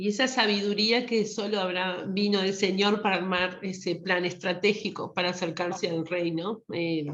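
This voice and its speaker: In a normal speaking voice, a woman talks at a moderate pace and medium pitch with fairly even intonation and hardly any pauses. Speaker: participant at a women's church retreat. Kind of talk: group discussion.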